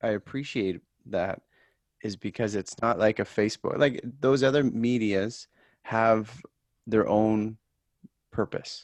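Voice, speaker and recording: A man of medium pitch at a fairly slow pace, with fairly even intonation and long, frequent pauses, in a dry, close sound with no echo. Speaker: podcast host. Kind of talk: podcast interview host.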